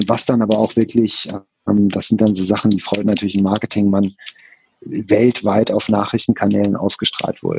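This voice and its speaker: This man's voice sits fairly low in pitch. He talks at a moderate pace with monotone, flat intonation. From Ruhr area, Germany (Bochum). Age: 50s. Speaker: esports foundation director. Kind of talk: interview. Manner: hesitant with many fillers.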